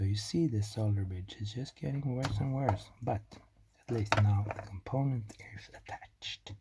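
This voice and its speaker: With a non-native accent, the words come at a moderate pace. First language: not English. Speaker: electronics hobbyist YouTuber. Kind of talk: tutorial. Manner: casual, self-deprecating chatter with hesitations.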